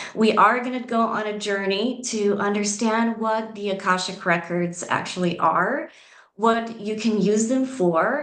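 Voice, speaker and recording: A woman's fairly high voice, fairly slow in pace with ordinary pitch variation, amid noticeable background noise. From Southeast Europe. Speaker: spiritual coach. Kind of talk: conference presentation. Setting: video call.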